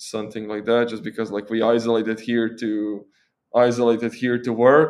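In a Croatian accent, a man speaks at a moderate pace and medium pitch with monotone, flat intonation against a quiet background. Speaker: tech content creator and software engineer. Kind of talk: casual interview.

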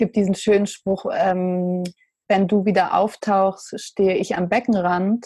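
A dark, mellow tone at a fairly slow pace with fairly even intonation. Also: woman, medium pitch for a woman. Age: 20s. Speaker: poet and mental health blogger. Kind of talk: interview.

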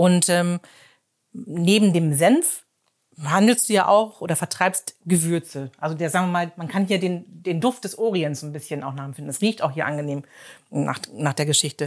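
This is a woman with a normal speaking voice, pitched fairly low. She talks at a moderate pace with ordinary pitch variation. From Emsland, Germany. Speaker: podcast host. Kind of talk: interview. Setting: in a shop.

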